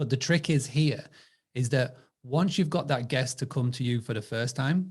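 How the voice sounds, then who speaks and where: A somewhat breathy man with an English accent talks fairly quickly, with ordinary pitch variation. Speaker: direct booking marketing supplier. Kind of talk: webinar panel discussion.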